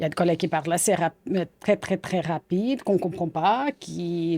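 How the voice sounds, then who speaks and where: In a very clean recording with a silent background, a woman with a Portuguese accent speaks in a fairly low pitch and a dark, mellow tone, with ordinary pitch variation. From Portugal. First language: Portuguese (speaking French). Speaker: psychiatrist. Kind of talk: interview. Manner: halting.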